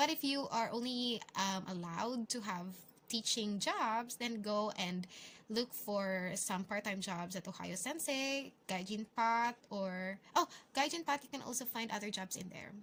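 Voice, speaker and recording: Her intonation sounds lively. This woman speaks at a fairly slow pace. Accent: Filipino. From Philippines. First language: Filipino. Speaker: English teacher and vlogger. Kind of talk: vlog tutorial. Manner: casual, hesitant with fillers.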